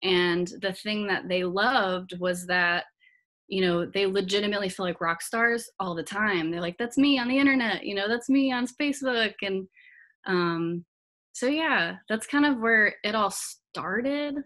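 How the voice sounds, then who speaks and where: Speaking fairly slowly, a woman has an American accent and a bright, sharp tone. The background is quiet. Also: lively intonation. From Georgia, US South (Marietta). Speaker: color guard designer and instructor. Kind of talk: interview conversation. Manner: animated, many fillers and repetitions. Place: home room. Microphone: webcam.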